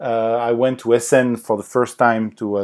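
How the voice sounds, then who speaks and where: A man with a French accent talks at a fairly quick pace. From France (Paris). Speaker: board game designer. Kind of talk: podcast interview. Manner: halting, many fillers.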